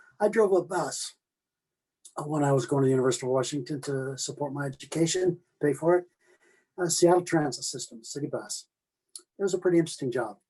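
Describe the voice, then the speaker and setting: Somewhat breathy and dark, mellow in tone, a man speaks at a very fast pace and fairly high pitch with ordinary pitch variation and long, frequent pauses. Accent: Pacific Northwest. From US Pacific Northwest (Oregon). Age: 80s+. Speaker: retiree telling life stories. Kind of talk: personal storytelling interview. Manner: halting, with many fillers and repetitions.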